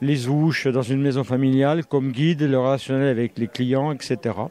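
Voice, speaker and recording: The tone is dark and mellow as this man talks. Intonation remains fairly even throughout. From Burgundy, France. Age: 70s. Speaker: author and retired teacher. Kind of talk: interview. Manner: hesitant, many fillers.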